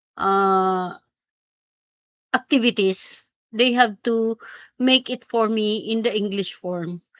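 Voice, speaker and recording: Speaking very slowly with long, frequent pauses, a woman with a Filipino accent has a fairly high pitch and ordinary pitch variation, recorded dry and close with no echo. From Philippines. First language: Filipino language. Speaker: teacher and live streamer. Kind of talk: casual live stream chat. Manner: halting.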